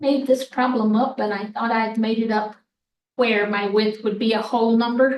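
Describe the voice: Her tone slightly mellow, a woman speaks at a moderate pace with fairly even intonation. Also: fairly high pitch for a woman.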